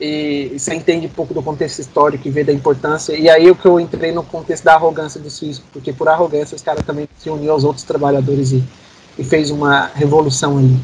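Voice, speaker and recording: A man's fairly high voice moves at a very fast pace in a monotone, flat line. His loudness swings widely. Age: 20s. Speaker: physics graduate. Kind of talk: casual chat.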